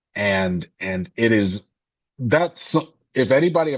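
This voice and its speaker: Here is a man speaking. His intonation is lively. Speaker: filmmaker and singer. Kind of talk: casual conversation. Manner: halting, many self-corrections.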